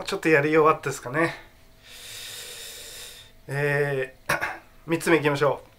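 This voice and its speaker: A man speaks in a bright, sharp tone. His pace is moderate. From Tokyo. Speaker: actor. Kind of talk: casual talk to camera. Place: home room. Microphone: phone near.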